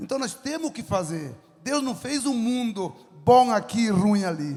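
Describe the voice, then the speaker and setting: An animated man speaks at an extremely high pitch. Noticeable background noise is present. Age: 70s. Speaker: farmer and entrepreneur. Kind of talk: lecture with audience Q&A.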